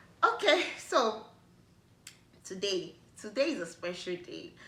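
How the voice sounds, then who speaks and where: A woman with a Nigerian accent speaks at a very slow pace in a bright, sharp tone, with audible room echo. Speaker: YouTuber. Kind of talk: casual vlog talk to camera. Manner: animated.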